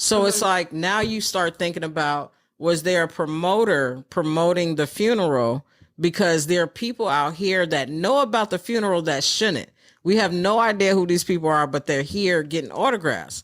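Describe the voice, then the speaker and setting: A normal speaking voice from a woman with an American accent, fairly low in pitch, with lively intonation, very even loudness and a moderate pace, on a very clean recording with a silent background. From New York City. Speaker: stand-up comedian. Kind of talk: interview answer.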